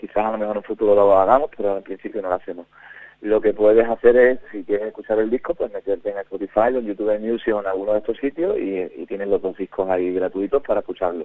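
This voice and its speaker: A man's fairly low, dark, mellow voice at a very fast pace, with a slight Andalusian accent, fairly even intonation and a dry, close sound with no echo. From Huelva, Spain. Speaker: band leader musician. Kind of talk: radio interview. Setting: phone call.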